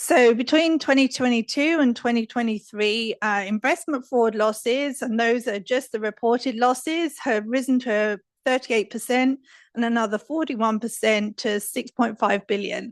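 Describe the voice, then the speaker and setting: Against a quiet background, a woman with a British accent talks at a moderate pace and a fairly high pitch, with ordinary pitch variation, in a dry, close sound with no echo. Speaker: risk advisory specialist. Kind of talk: conference talk. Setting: stage with audience. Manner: soft-spoken.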